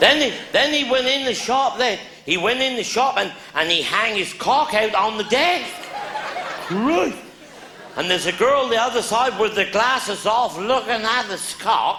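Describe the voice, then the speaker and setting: A man with a Cornish accent speaks in a raised, projected voice at an extremely high pitch, with lively intonation and a moderate pace over noticeable background noise. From Cornwall. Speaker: comedian. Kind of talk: live stand-up comedy storytelling.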